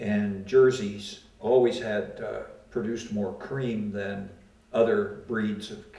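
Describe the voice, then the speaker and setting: A man at a very slow pace in a medium pitch, monotone and flat, with big swings in loudness and noticeable background noise. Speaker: World War II veteran. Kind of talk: oral history interview answer.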